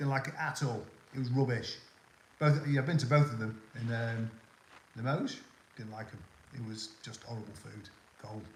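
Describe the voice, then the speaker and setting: With long, frequent pauses and big swings in loudness, a man speaks at medium pitch in a somewhat breathy voice with ordinary pitch variation. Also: fairly quick pace. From northwest England.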